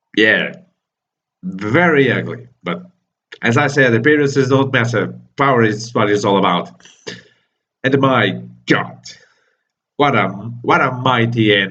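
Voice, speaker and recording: A man with a non-native accent talks at a fairly slow pace, leaving long, frequent pauses, his medium-pitched voice bright and sharp in tone with vocal fry. Pitch variation is ordinary, and audible room echo is present. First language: not English. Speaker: manga reviewer, YouTuber. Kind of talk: casual video review monologue.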